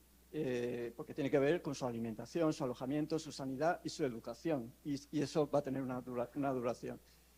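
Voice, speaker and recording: Speaking at a fairly quick pace with hardly any pauses, a man with a medium pitch uses fairly even intonation and a dark, mellow tone. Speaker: law professor. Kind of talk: conference talk. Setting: conference panel. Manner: halting.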